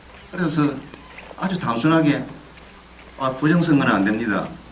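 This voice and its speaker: Noticeable background noise and audible room echo surround the recording. A man talks at a fairly quick pace and a fairly high pitch. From South Korea, Busan. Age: 60s. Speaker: whistleblower, former election commission employee and union leader. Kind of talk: speech at a screening event.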